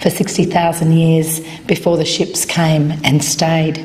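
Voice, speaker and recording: A woman with an Australian accent speaks in a fairly low pitch and a flat, monotone intonation. Background noise is noticeable. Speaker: journalism professor. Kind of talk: formal speech at event.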